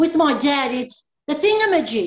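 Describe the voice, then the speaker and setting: A high-pitched woman's voice with an Australian accent. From Australia, Maltese heritage. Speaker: pastoral care worker, nun. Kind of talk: casual chat.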